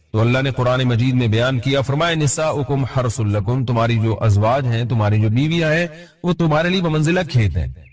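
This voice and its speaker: A man speaks at a medium pitch in a somewhat breathy voice, with ordinary pitch variation and very even loudness. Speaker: Islamic scholar giving a sermon. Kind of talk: Islamic sermon (bayan) lecture.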